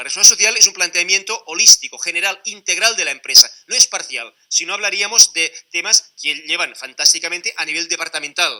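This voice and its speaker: A high-pitched man speaks at a fairly quick pace with hardly any pauses and big swings in loudness. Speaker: conference speaker on corporate social responsibility. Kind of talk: conference talk. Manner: fast.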